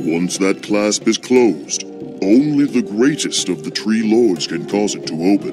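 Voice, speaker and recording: A put-on character voice at a moderate pace, with clear music in the background. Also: man, fairly low pitch for a man. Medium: machinima. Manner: formal, stately.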